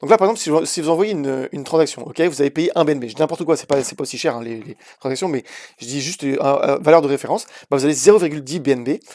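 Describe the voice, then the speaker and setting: A man talks very fast at a fairly high pitch, with ordinary pitch variation and big swings in loudness. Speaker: crypto YouTuber. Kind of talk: casual market analysis video. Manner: hesitant, many fillers.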